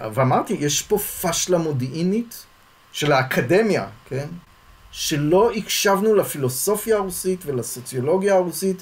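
This man's pitch is high and his intonation lively. He speaks at a fairly slow pace. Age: 60s. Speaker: sociology professor. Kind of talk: interview conversation.

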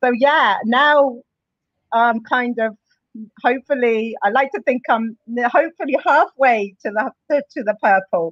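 With a Bedfordshire accent, a high-pitched woman speaks at a fairly slow pace with lively intonation, the sound dry and close with no echo. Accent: southern English, Luton. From England, Luton. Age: 40s. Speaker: gym client. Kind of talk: interview.

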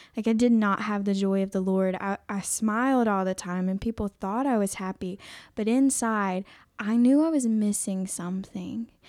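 An unremarkable speaking voice from a woman with an American accent, medium in pitch, with ordinary pitch variation at a moderate pace, on a very clean recording with a silent background. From South Carolina, Aiken. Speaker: pregnancy care center worker. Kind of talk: testimony. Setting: studio.

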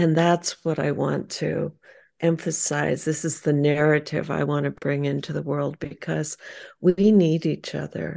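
A woman's very deep, low, dark, mellow voice with vocal fry and monotone, flat intonation, at a fairly slow pace over a quiet background. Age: 70s. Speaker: artist. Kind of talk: casual interview chat. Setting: video call.

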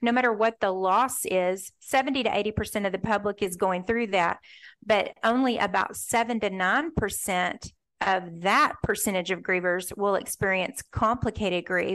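An ordinary speaking voice at a fairly slow pace, with ordinary pitch variation, very even loudness and a quiet background. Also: woman, medium pitch for a woman. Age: 50s. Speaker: author. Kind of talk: interview.

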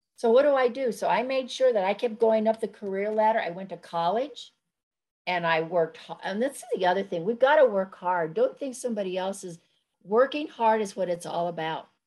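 A woman's fairly high voice at a fairly quick pace, lively in intonation, against a quiet background. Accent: American. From New Mexico (Corrales, near Albuquerque). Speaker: retired government official and community leader. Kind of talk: interview.

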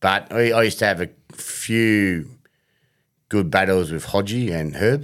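Fairly slow speech from a man with a fairly low pitch and ordinary pitch variation, long, frequent pauses and a very clean recording with a silent background. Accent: Australian. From Melbourne, Australia. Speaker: former fast bowler and bowling coach. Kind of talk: casual interview.

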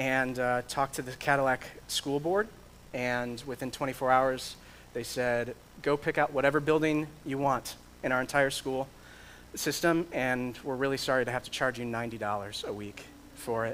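Speaking with an American accent, a man with an unremarkable speaking voice talks at a moderate pace and medium pitch with fairly even intonation. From Michigan. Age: 30s. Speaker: pastor and church planter. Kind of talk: sermon.

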